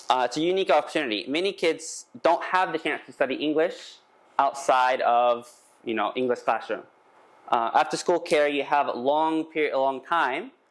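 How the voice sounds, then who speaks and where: The speaker talks at a moderate pace with a Texan accent. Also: man. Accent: Texan American English. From Texas. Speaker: English school owner. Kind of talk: conference presentation. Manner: halting, many fillers.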